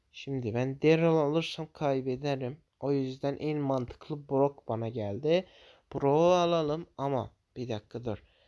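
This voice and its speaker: Fairly high-pitched yet dark and mellow in tone, a man speaks at a fairly slow pace. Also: ordinary pitch variation. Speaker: gaming YouTuber. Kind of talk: gameplay commentary.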